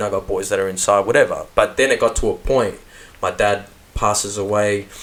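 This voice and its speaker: A man talks with an Australian accent. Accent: natural Australian. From Melbourne, Australia. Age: 30s. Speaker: rapper. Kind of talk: casual interview chat. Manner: animated.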